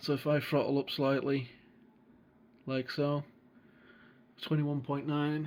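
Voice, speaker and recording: A man's fairly high, monotone voice with flat intonation at a fairly slow pace. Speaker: flight sim gamer and tutorial maker. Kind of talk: tutorial. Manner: casual, hesitant with fillers. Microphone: recorded on a phone.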